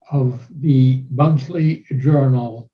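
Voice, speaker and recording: With a German accent, the speaker has a dark, mellow tone, a somewhat breathy quality and fairly even intonation. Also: man. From Germany. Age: 90s. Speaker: war veteran. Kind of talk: interview. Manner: formal.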